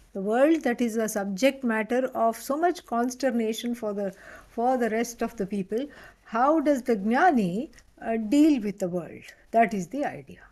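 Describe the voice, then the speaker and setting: Moderate pace with an Indian accent and ordinary pitch variation. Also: woman, fairly high pitch for a woman. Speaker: spiritual teacher. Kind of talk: lecture. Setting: online class with live audience.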